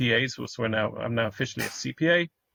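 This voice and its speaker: A man talks with a British accent. His pitch sits in the medium range. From United Kingdom. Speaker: accountant. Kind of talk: podcast interview. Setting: call.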